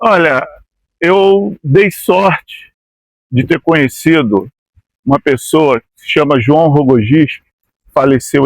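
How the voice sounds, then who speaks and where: Lively intonation carries this fairly slow delivery, recorded with a dry, close sound and no echo. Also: man. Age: 60s. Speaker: former amateur footballer. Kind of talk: interview. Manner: halting, with frequent repetitions.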